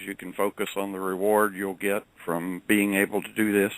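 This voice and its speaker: This man has a Southern US accent. His pitch sits fairly low. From US South. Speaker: credit management professional. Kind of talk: interview storytelling. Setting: radio show.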